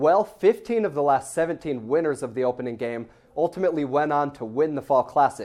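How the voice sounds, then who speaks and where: Music plays in the background as a man speaks. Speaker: sports reporter and anchor. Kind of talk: sports broadcast anchor and reporter delivery.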